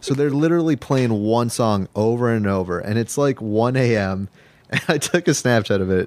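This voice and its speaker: A plain, everyday voice from a man with an American accent, medium in pitch, at a moderate pace, with lively intonation and very even loudness. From Los Angeles. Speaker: podcast guest. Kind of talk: casual chat.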